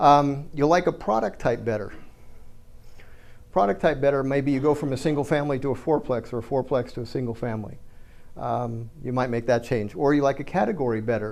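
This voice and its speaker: A man speaks fairly quickly in a plain, everyday voice. His pitch sits at a medium level and varies in an ordinary way. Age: 60s. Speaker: real estate investor and educator. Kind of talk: seminar talk. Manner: casual, conversational.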